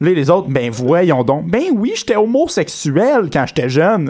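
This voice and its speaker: A man with a high pitch, very wide pitch swings and a fairly slow pace. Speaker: podcast co-host. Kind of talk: casual chat.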